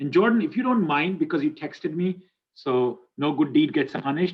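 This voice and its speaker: This man's voice has ordinary pitch variation. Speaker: university instructor. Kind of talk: online class lecture. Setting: video call. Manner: fast; halting.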